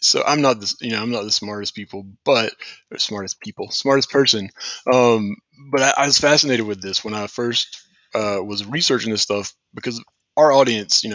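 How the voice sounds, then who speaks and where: A man talks at a fairly quick pace with a Southern US accent. His pitch varies in an ordinary way. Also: medium pitch for a man. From US South, St. Petersburg, Florida. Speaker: company founder and show host. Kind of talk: casual chat.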